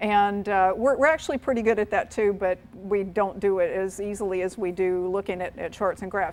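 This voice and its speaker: A woman's medium-pitched voice with a slight North Carolina accent, at a fairly quick pace and with ordinary pitch variation. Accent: slight North Carolina twang. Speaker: aviation safety presenter. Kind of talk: seminar presentation. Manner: repetitive, self-correcting.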